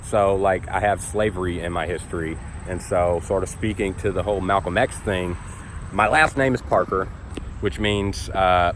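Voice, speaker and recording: A man with a very deep, low voice and an American accent, at a moderate pace over noticeable background noise. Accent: slight Southern, speech classes to reduce. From US South (Tennessee, Georgia). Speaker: YouTuber. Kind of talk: personal vlog monologue. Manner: casual, many fillers.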